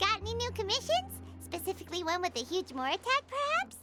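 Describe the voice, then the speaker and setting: A female-sounding, put-on character voice, squeaky and extremely high, races along at a very fast pace in an enthusiastic tone. Loud music plays in the background. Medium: video game. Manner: enthusiastic, chirpy.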